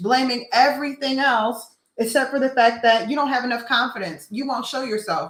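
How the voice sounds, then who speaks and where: Loud and high-pitched, a woman speaks at a moderate pace with fairly even intonation. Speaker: business coach and mentor. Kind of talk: motivational talk.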